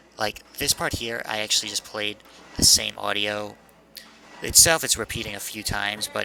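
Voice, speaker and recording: A man at a moderate pace with long, frequent pauses over noticeable background noise. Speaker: college student. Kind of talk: casual project commentary. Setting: poppy test microphone.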